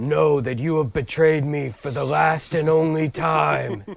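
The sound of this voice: The voice is a put-on character voice, booming throughout. It is raised and projected. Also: man.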